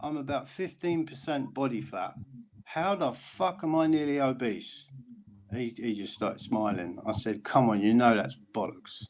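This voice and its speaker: Using lively intonation, a man with an unremarkable speaking voice and medium pitch talks at a moderate pace. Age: 50s. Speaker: friend in group chat. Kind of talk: casual chat.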